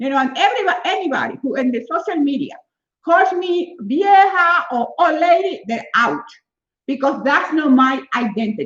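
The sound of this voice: A woman talks at a moderate pace with a high pitch and a fairly bright tone. Her pitch makes big swings.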